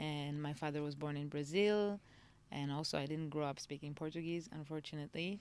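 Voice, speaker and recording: A woman's very deep, low voice at a fairly quick pace, with fairly even intonation. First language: Moroccan Arabic (heritage tongue; not spoken growing up). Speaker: singer and songwriter. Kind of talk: podcast interview. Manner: halting, many repetitions and fillers.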